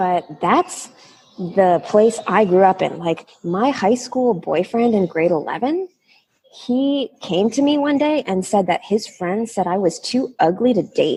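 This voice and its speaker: A woman speaks in a plain, everyday voice at a fairly high pitch. Her pace is fairly slow and her intonation lively. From Canada, Toronto. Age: 30s. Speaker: guest speaker. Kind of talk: interview.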